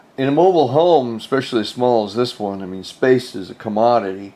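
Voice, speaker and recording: The man's voice has a dark, mellow tone. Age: 70s. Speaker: DIY home renovation vlogger. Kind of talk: casual vlog narration. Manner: hesitant, many fillers.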